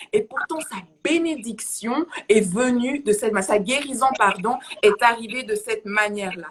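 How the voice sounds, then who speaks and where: A woman speaks at a fairly slow pace, her pitch fairly high. Background noise is noticeable. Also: lively intonation. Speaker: preacher. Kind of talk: sermon. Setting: livestream. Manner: halting.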